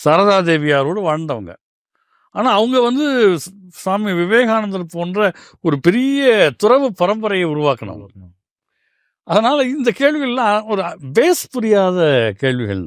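A man with a high voice and very wide pitch swings is heard on a very clean recording with a silent background. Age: 50s. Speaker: spiritual organisation member. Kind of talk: interview.

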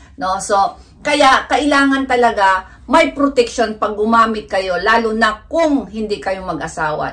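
At a moderate pace, a woman uses lively intonation and a fairly high pitch. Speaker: vlogger. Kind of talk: informal health talk vlog. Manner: halting, stumbles over medical terms. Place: home room.

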